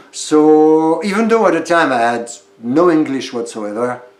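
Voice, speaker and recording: A man speaks at a fairly slow pace with audible room echo and noticeable background noise. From France. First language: French. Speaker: stage actor. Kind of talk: casual interview. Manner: hesitant, many fillers.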